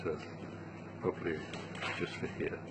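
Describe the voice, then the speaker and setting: With a British accent, a man speaks as noticeable background noise carries on behind him. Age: 70s. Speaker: travel writer. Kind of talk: interview. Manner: halting.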